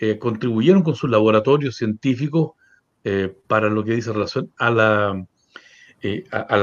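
A medium-pitched man at a moderate pace with ordinary pitch variation. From Chile, Valdivia. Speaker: journalist and mayoral candidate. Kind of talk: interview. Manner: hesitant, many fillers.

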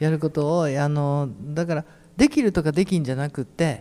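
A man speaks with an Ehime accent at a fairly high pitch. His tone is dark and mellow, with ordinary pitch variation. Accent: Iyo (Ehime) dialect. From Imabari, Ehime (Shikoku). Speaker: painter coordinating a community talk event. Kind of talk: casual panel discussion. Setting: public hall with audience.

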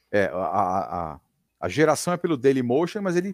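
A man's voice with vocal fry and very wide pitch swings comes through a very clean recording with a silent background and a dry, close sound with no echo. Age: 50s. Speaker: radio broadcaster. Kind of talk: casual chat.

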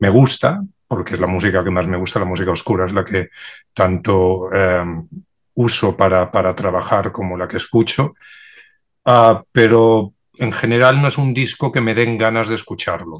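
Here a man with a normal speaking voice talks at a fairly low pitch and a moderate pace. His pitch variation is ordinary, and the background is quiet. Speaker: DJ and record collector. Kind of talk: panel discussion.

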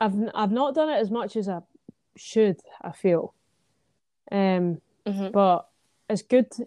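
A woman with a Scottish accent and a dark, mellow, medium-pitched voice speaks fairly slowly with ordinary pitch variation and long, frequent pauses, on a dry, close recording with no echo. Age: 20s. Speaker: singer-songwriter. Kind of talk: casual chat.

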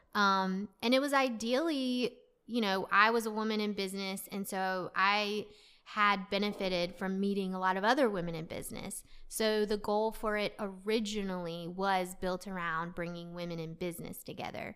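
At a medium pitch and a moderate pace, a woman speaks with ordinary pitch variation. The recording is very clean, with a silent background. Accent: slight Southern US. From US South, North Carolina. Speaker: founder of a women's social club. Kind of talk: casual interview chat. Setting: studio.

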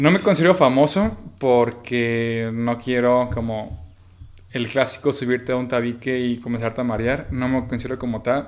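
With an unremarkable speaking voice, a man talks at medium pitch and a moderate pace, with ordinary pitch variation. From Mexico, Bajío (Guanajuato). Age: 20s. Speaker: student entrepreneur. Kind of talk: casual chat.

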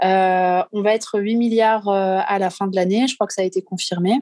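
The voice moves at a very slow pace with fairly even intonation, in a dry, close sound with no echo. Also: woman. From southwest France. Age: 30s. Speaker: marine conservation activist. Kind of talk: interview conversation. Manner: hesitant, many fillers.

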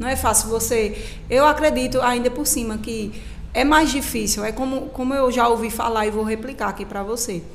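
Her voice is fairly high-pitched, and she speaks at a moderate pace. Noticeable background noise and audible room echo surround the woman. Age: 20s. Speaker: lawyer. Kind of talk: radio interview.

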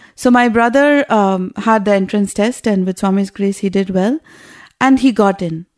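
A plain, everyday voice moves at a moderate pace with ordinary pitch variation in a very clean recording over a silent background. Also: woman, medium pitch for a woman. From US West Coast. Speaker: schoolteacher. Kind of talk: interview, personal reminiscence. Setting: studio.

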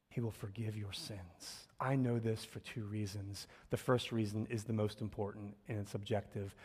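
A man speaks with an American accent at a fairly low pitch. His voice is somewhat breathy and his intonation monotone and flat. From US Northeast, North Philadelphia. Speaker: pastor. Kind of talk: sermon.

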